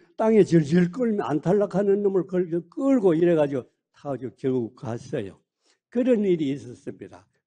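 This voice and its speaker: A man speaks with a high pitch and a dark, mellow tone. His intonation is lively, and the background is quiet. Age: 80s. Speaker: retired emergency physician. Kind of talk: speech to colleagues. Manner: halting, frequent fillers.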